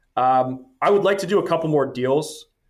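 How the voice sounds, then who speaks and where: A man with a Canadian accent, an unremarkable speaking voice, fairly quick pace and ordinary pitch variation, on a very clean recording with a silent background. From Canada. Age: 30s. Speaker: entrepreneur and investor. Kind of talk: interview conversation.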